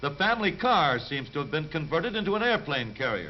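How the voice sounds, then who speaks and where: A man with an ordinary speaking voice and a fairly high pitch keeps his intonation lively as he talks at a moderate speed. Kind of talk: newsreel narration.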